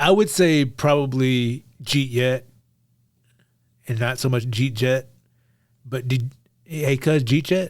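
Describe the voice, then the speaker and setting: A man with an American accent speaks very slowly at a medium pitch, with ordinary pitch variation and long, frequent pauses. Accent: reduced Texas accent, stronger around family. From Texas, Beaumont. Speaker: podcast co-host. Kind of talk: casual chat.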